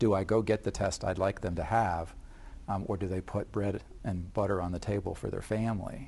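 A man talks at a fairly quick pace in a fairly low pitch. His tone is dark and mellow, and his intonation stays fairly even. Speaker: family physician. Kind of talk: TV panel discussion. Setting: TV studio. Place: studio. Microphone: lapel.

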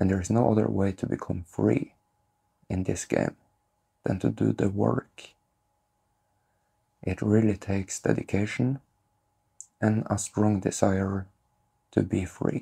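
Set against a quiet background, the voice is dark, mellow and somewhat breathy, moving at a fairly slow pace with ordinary pitch variation and long, frequent pauses. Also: man, fairly low pitch for a man. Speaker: spiritual content creator. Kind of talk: calm spiritual talk to camera. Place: home room.

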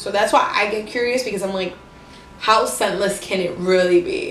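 Against music in the background, a woman speaks at a moderate pace with audible room echo. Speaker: beauty vlogger. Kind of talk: casual beauty review to camera.

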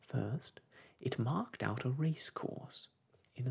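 An unforced reading voice, its pitch varying in an ordinary way

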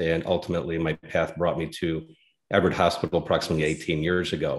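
The background stays quiet. A man speaks at a very fast pace. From Denver, Colorado. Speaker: general surgeon; guest. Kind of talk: interview explanation. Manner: halting, frequent uh fillers. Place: home room. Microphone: earbuds.

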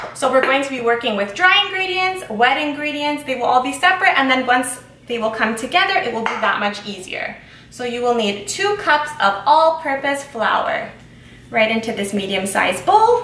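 Moderate pace with audible room echo. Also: woman, high pitch for a woman. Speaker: home baker host. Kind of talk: tutorial. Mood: cheerful, friendly. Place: kitchen.

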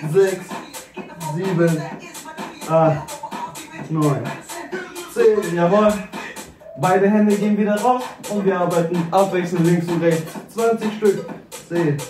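A man at a high pitch, talking at a very slow pace with long, frequent pauses, clear music in the background. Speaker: fitness trainer. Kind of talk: workout instruction.

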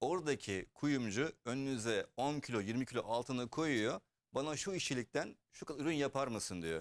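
A man speaks in an ordinary speaking voice at a medium pitch. His intonation is lively, the pace moderate, with hardly any pauses. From Germany. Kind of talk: casual interview.

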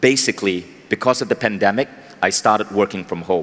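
The pitch shows ordinary variation. A man delivers it at a moderate pace. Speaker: keynote speaker. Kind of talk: motivational talk. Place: stage. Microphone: headset.

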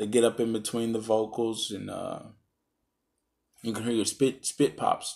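Over a quiet background, a man speaks at a moderate pace in a monotone, flat intonation. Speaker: product reviewer. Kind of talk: casual review talk. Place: home room.

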